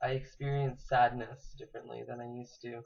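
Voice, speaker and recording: Somewhat breathy, a man speaks at a medium pitch. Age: 19. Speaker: vlogger. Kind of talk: personal vlog. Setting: recording to camera. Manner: halting, many fillers.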